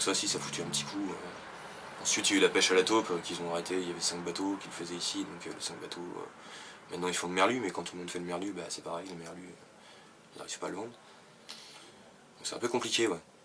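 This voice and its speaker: In a room with audible echo, a man with a very deep, low pitch talks at a very fast pace with fairly even intonation. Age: 20s. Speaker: fisherman. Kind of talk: interview. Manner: hesitant, many fillers.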